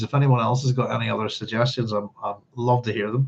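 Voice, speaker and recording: Delivered at a moderate pace, the speech is somewhat breathy and shows ordinary pitch variation. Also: man. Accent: Northern Irish. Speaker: book club host. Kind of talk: live book club reading and discussion. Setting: livestream. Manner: hesitant, many fillers.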